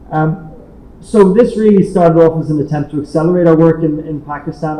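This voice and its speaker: Against noticeable background noise and audible room echo, a man speaks in a fairly high pitch. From Ireland. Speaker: international organization director. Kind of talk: conference speech. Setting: hybrid roundtable, in-person audience and online call. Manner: repetitive false starts.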